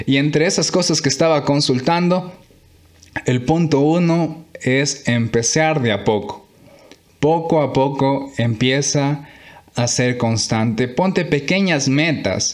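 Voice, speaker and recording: Very even in loudness, a man talks at a very slow pace. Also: ordinary pitch variation. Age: 20s. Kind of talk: devotional monologue. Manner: halting.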